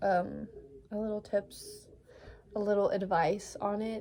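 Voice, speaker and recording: This woman speaks with monotone, flat intonation. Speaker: vlogger. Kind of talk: casual advice monologue to camera. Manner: halting, many fillers.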